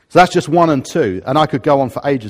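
Talking at a very fast pace, a man speaks with a southern English accent. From England, Harrow. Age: 50s. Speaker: pastor. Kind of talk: sermon. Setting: church.

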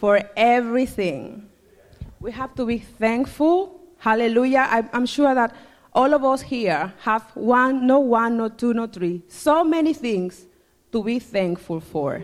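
Speaking at a fairly slow pace, a woman with a Spanish accent uses a high pitch and lively intonation. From Dominican Republic. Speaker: church member. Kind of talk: testimony.

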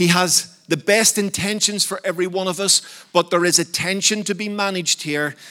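At a moderate pace, a man speaks in a high voice with an animated tone. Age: 50s. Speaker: preacher. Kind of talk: sermon.

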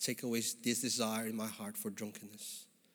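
A man speaks in a Filipino accent with a fairly low pitch. He keeps a moderate pace and a monotone, flat intonation. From Philippines. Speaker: guest preacher. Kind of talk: sermon. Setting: church. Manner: warm, conversational with humor.

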